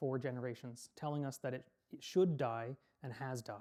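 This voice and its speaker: A man with a Canadian accent speaks in a dark, mellow tone on a very clean recording with a silent background. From Canada. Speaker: lecturer on Irish language history. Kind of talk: public lecture. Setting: public hall with audience. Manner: earnest, persuasive.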